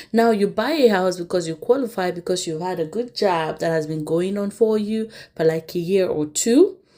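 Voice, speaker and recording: A dark, mellow tone carries the speech at a moderate pace with hardly any pauses. Pitch variation is ordinary. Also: woman, medium pitch for a woman. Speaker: YouTube commentary host. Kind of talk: casual commentary.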